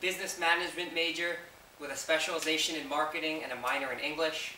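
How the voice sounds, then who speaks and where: A man with an American accent talks at a very fast pace in a fairly high pitch, with audible room echo and noticeable background noise. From New York. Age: 20s. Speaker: fitness vlogger. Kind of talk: Q&A video. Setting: home basement. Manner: casual.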